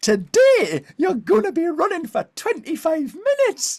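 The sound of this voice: An extremely high, put-on character voice in a northern English accent, with very wide pitch swings. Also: moderate pace.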